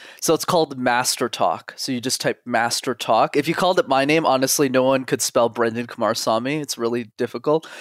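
A man with a normal speaking voice, fairly quick and with hardly any pauses, fairly even in intonation, in a dry, close sound with no echo. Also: medium pitch for a man. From Montreal, Canada. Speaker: communication coach. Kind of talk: casual interview chat. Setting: video call.

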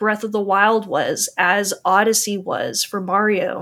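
On a very clean recording with a silent background, a woman with a fairly high pitch talks at a fairly slow pace in an ordinary speaking voice. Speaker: guest, coin display seller and gamer. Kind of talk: casual chat.

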